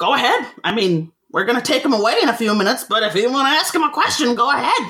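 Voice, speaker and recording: A female-sounding, put-on character voice is high in pitch. It moves at a very fast pace. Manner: casual, authoritative.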